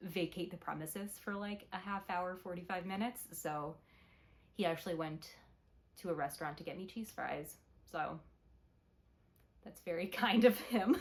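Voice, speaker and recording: At a moderate pace, a somewhat breathy woman speaks at a medium pitch with ordinary pitch variation, long and frequent pauses, and big swings in loudness. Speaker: knitting podcaster. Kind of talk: casual chat. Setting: at home, alone in the evening.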